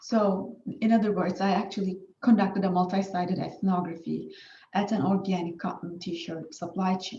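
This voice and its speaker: A woman's somewhat breathy, dark, mellow voice with a Turkish accent, medium in pitch with ordinary pitch variation, at a moderate pace amid audible room echo. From Turkey. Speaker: academic researcher. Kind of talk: conference presentation. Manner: hesitant with fillers.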